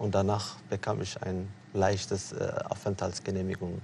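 A man's somewhat breathy voice comes through at a fairly slow pace. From Eritrea. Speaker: refugee and author. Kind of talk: interview on TV talk show. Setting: TV studio. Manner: hesitant, many fillers.

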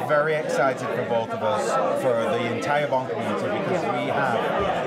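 A man talks at a moderate pace. Crowd noise carries in the background. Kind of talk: interview answer. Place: hall. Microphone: lapel.

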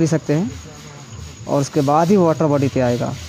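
A man's voice over light background noise. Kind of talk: tutorial. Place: garage. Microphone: phone near.

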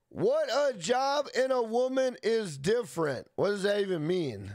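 A man with an American accent, animated tone and very wide pitch swings at a fairly slow pace and very even loudness, in a dry sound with no echo against a quiet background. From United States. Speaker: gaming live streamer. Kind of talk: casual live-stream gameplay commentary and chat. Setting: live stream from home. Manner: animated, hyped; profane, loose. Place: home room. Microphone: studio mic.

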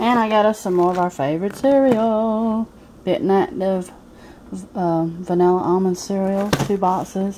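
There is noticeable background noise behind a woman. Her pitch varies in an ordinary way. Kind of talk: casual vlog chat. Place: home room. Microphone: phone near.

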